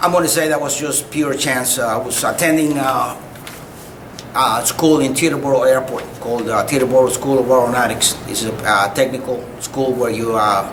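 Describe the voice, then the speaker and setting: Speaking with a Spanish accent, a man talks at a moderate pace in a medium pitch with ordinary pitch variation. Audible room echo and noticeable background noise are present. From Cuba. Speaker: retired army officer, war veteran. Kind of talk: oral history interview. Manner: halting, frequent uh fillers; polite, formal.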